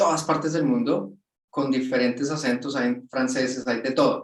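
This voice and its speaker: A man speaks with a Latin American accent. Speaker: project manager. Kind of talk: webinar interview.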